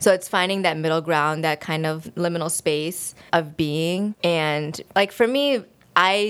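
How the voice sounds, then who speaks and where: Her fairly low pitch and fairly even intonation mark this woman's ordinary speaking voice. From US. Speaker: graduate student and illustrator. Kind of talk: interview.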